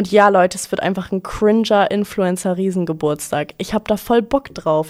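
This woman's medium-pitched voice moves at a fairly quick pace with ordinary pitch variation. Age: 20s. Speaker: podcast host, student. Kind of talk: casual storytelling monologue. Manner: animated.

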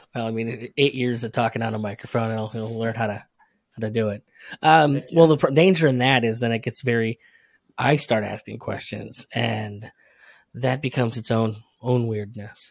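An ordinary speaking voice with an American accent moves at a moderate pace. The recording is very clean with a silent background, and pitch varies ordinarily. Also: man, medium pitch for a man. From upstate New York. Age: 30s. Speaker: marketer and podcaster. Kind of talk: casual interview chat.

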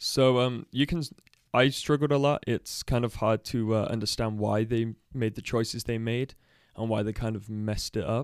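A man with a Midlands accent and fairly even intonation. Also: medium pitch for a man, moderate pace, dry, close sound with no echo. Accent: English Midlands, British. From Leicester, English Midlands. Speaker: guest, adoptee sharing personal story. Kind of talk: casual interview. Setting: studio.

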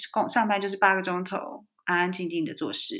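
In a very clean recording with a silent background, a woman speaks in a normal speaking voice at medium pitch, a moderate pace and ordinary pitch variation. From Taiwan. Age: 40s. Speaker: entrepreneur and author. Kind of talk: interview conversation.

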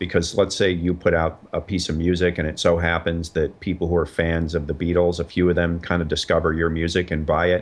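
At a fairly quick pace with hardly any pauses, a man speaks in a very deep, low pitch and a monotone, flat intonation against a quiet background. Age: 50s. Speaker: comedian and documentary filmmaker. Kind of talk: interview.

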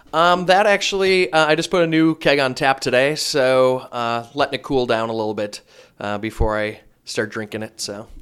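An ordinary speaking voice with an American accent comes through with lively intonation at a moderate pace on a very clean recording with a silent background. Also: man, medium pitch for a man. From Wisconsin. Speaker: brewmaster, non-comedian guest. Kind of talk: casual chat.

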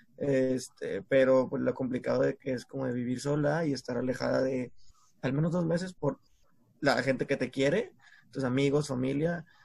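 This man's voice sits at a medium pitch and sounds somewhat breathy. He goes at a moderate pace with fairly even intonation. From Mexico, San Pedro Garza García (Monterrey area). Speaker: podcast co-host. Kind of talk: casual chat.

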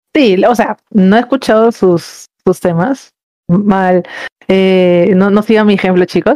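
Dry and close with no echo, a woman's dark, mellow, medium-pitched voice moves at a very slow pace. Her loudness is very even and her pitch varies ordinarily. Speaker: podcast guest. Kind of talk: casual chat.

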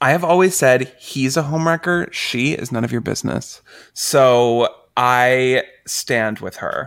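A man with an ordinary speaking voice talks at a fairly slow pace and medium pitch with ordinary pitch variation, in a very clean recording with a silent background. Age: 30s. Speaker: podcast co-host. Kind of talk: casual chat.

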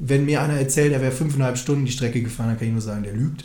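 The voice has a dark, mellow tone and is somewhat breathy. Audible room echo surrounds it. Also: man. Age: 20s. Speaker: podcast co-host. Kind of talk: casual chat.

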